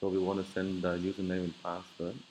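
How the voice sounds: Low-pitched and slightly mellow, a man talks at a fairly quick pace in a monotone, flat intonation.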